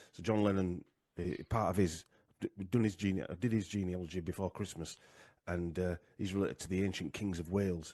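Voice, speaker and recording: At a fairly quick pace, a man with a Yorkshire accent speaks at a very deep, low pitch, with a dark, mellow tone and fairly even intonation. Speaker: genealogy researcher, podcaster. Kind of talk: casual interview presentation. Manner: halting, many fillers.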